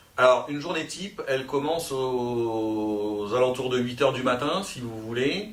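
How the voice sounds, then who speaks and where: Audible room echo surrounds a man's voice. He speaks at a medium pitch with lively intonation. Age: 40s. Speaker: sales manager. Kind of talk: career interview. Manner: hesitant, many fillers.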